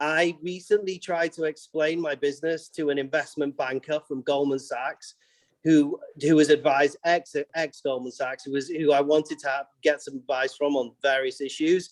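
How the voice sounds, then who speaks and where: A man speaks with a Manchester accent at a fairly high pitch. His moderate pace and fairly even intonation come through a dry, close sound with no echo. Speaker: business owner. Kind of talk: public meeting testimony.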